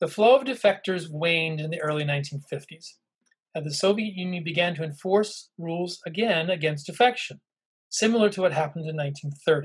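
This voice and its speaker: Over a quiet background, a man with a high voice talks at a moderate pace with ordinary pitch variation. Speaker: intelligence historian and professor; professor. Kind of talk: lecture. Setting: video call. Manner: halting, frequent fillers.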